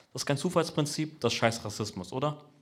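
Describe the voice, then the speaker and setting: Audible room echo surrounds a man's voice. He speaks at a very fast pace with lively intonation. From Braunschweig, Kurdish-Turkish family. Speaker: comedian. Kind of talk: stand-up. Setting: stage with audience.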